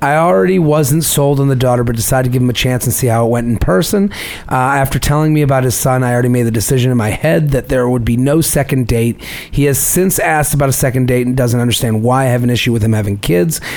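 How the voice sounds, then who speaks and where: Over noticeable background noise, a man at medium pitch talks at a very fast pace, keeping his loudness very even and his pitch variation ordinary. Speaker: podcast host. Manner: reads listener emails aloud.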